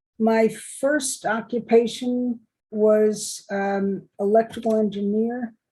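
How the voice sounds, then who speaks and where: With a slight New York accent, a woman speaks very slowly in a fairly high, somewhat breathy voice that has a dark, mellow tone and fairly even intonation. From New York City. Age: 70s. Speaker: retired electrical engineer and contractor. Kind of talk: oral history interview.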